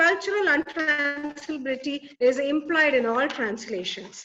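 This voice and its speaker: A raised, projected voice in a Keralan accent, with ordinary pitch variation, a moderate pace, and music in the background. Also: woman. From Kerala, India. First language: Malayalam. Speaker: academic conference presenter. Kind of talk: conference presentation. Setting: webinar.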